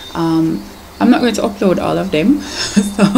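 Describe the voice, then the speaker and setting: A woman talks with very wide pitch swings over noticeable background noise. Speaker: poet. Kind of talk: casual talk to camera.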